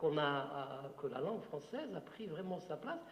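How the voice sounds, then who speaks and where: A man with an Algerian accent speaks at a fairly slow pace and fairly high pitch. Audible room echo and noticeable background noise surround him. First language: Algerian Arabic (speaking French). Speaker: writer. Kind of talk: Q&A talk at a literary conference. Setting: conference with audience. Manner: hesitant, many fillers.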